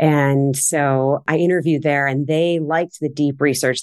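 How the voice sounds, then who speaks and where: A woman speaks with an American accent. Her pitch is very deep and low, and the background is quiet. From Cleveland Heights, Ohio, US Midwest. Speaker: equity portfolio manager. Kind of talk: interview.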